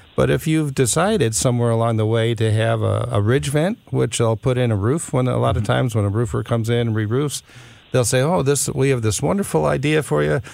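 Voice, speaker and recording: A man with a plain, everyday voice talks at a fairly quick pace and medium pitch with lively intonation. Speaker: home improvement consultant. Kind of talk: radio call-in advice. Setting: studio.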